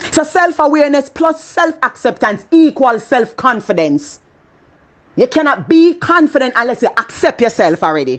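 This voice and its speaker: In a Jamaican accent, a woman speaks at a moderate pace with an animated tone and a high pitch. Her pitch swings very widely while her loudness stays very even. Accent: Jamaican, with patois. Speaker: motivational speaker. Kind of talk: motivational talk.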